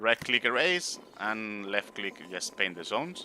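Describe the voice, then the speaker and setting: Recorded very cleanly over a silent background, a man with a Spanish accent speaks at a fairly low pitch in a bright, sharp tone with lively intonation. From Spain. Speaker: game streamer. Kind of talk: casual gameplay commentary. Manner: halting, with many fillers.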